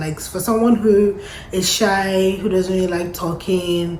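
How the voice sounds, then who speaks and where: Amid noticeable background noise and audible room echo, a woman talks at medium pitch with fairly even intonation. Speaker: lifestyle and immigration vlogger. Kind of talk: casual vlog monologue. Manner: conversational, reflective.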